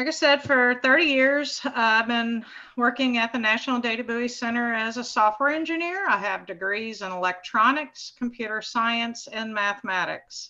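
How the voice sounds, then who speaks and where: A high-pitched woman's voice at a moderate pace with hardly any pauses and ordinary pitch variation, over a quiet background. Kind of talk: presentation talk. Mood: a little nervous. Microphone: video call.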